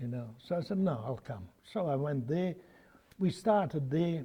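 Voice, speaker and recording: Speaking at a fairly slow pace, a man uses a fairly high, somewhat breathy voice with a dark, mellow tone. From Bosnia, former Yugoslavia. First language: Bosnian/Serbo-Croatian. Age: 80s+. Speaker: opal miner. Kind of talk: oral history interview.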